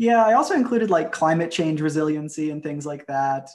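At a fairly quick pace, a man talks in a normal speaking voice with a fairly high pitch. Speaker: researcher. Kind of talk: interview answer.

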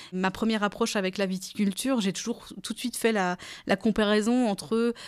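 A woman speaks at a fairly quick pace and medium pitch. Her intonation is monotone and flat, in a very clean recording with a silent background. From France, Alsace (Kaysersberg). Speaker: wine cooperative communications manager. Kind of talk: interview. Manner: hesitant, with frequent fillers.

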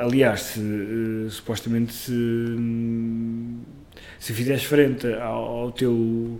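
A man's very slow, monotone, flat delivery, with noticeable background noise and audible room echo. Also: medium pitch for a man. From northern Portugal, Amarante. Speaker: actor and playwright. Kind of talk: casual chat. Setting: kitchen.

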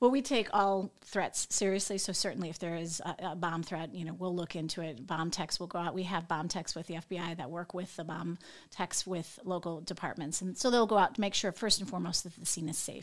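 A woman with an American accent speaks in a plain, everyday voice, fairly low-pitched and fairly quick with hardly any pauses and ordinary pitch variation, on a very clean recording with a silent background. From Northwest Indiana. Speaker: FBI agent. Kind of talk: interview.

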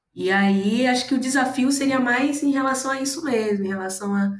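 Audible room echo around a fairly high female voice whose pitch varies in an ordinary way. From Bahia, Brazil. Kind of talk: casual chat.

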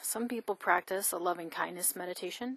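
A woman with a plain, everyday voice speaks at medium pitch and a moderate pace, with ordinary pitch variation and a dry, close sound with no echo against a quiet background. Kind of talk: guided meditation. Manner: warm, calm, tender and reassuring.

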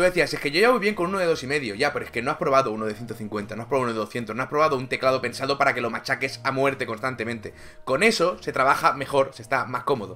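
A man at a medium pitch talks very fast with hardly any pauses and lively intonation. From Catalonia. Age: 30s. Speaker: gaming streamer. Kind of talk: casual chat. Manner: animated.

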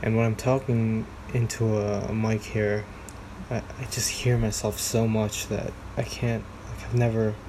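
Over noticeable background noise, a man with a medium pitch talks fairly slowly in a monotone, flat intonation. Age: 30s. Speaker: solo podcaster. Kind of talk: casual solo monologue, rambling. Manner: self-deprecating, halting, filler-heavy.

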